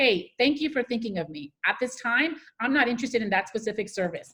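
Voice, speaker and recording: A woman's somewhat breathy voice with an American accent at a fairly quick pace. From US Northeast, New Jersey. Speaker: public speaker and career coach. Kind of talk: Q&A after a talk. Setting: video call. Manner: fast.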